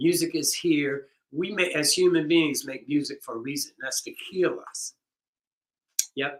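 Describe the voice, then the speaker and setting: A man speaks at a fairly slow pace with long, frequent pauses, his fairly high voice showing ordinary pitch variation. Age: 60s. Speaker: percussionist leading a rhythm circle. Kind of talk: online workshop wrap-up talk. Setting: video stream. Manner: casual, halting with many fillers.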